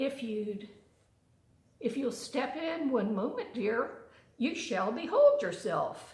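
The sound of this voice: In a put-on character voice, a woman speaks slowly at a fairly high pitch. Her tone is slightly mellow, and her pitch swings widely.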